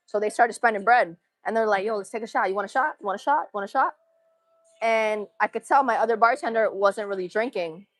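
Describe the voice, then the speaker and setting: Music plays behind a woman with an American accent and a fairly high pitch. She talks very fast with lively intonation, in a dry, close sound with no echo. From Massachusetts. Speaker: livestreamer. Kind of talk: casual chat.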